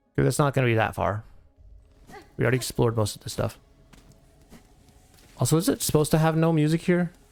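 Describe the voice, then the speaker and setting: Music plays in the background while a man with a fairly high pitch rushes along at a very fast pace, breaking it up with long, frequent pauses, his loudness swinging widely and his pitch varying in an ordinary way. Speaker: gaming streamer. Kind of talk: live gameplay commentary. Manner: mumbles when reading chat; halting, many fillers.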